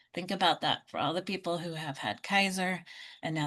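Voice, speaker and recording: A woman speaks at a fairly quick pace in an ordinary speaking voice, her pitch fairly low. The background is quiet. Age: 60s. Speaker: Medicare insurance advisor. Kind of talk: online group Q&A session.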